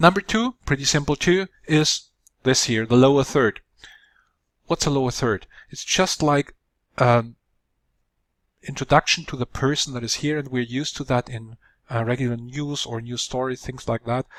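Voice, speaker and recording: A man with a non-native accent and medium pitch, at a moderate pace with long, frequent pauses and ordinary pitch variation, in a dry, close sound with no echo, on a very clean recording with a silent background. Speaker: video producer. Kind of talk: tutorial. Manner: halting with fillers.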